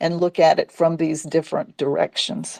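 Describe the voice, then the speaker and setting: A woman's dark, mellow tone, dry and close with no echo, against a quiet background. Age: 60s. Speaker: sex educator and talk host. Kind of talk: casual chat. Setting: live audio space on social media.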